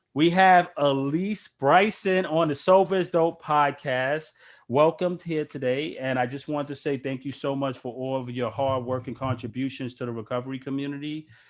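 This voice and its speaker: A man talks at a moderate pace with hardly any pauses, his pitch fairly high and its variation ordinary. The recording is very clean, with a silent background. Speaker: podcast host. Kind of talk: casual interview. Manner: loud.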